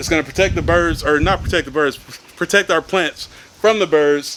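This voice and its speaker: Over noticeable background noise, a man talks in a high pitch. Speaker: gardening vlogger. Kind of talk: casual vlog. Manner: fast.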